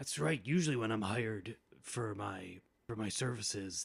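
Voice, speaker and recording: A man puts on a raspy character voice with lively intonation. He speaks at a moderate pace and a medium pitch. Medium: actual play. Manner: stammering, casual and defensive.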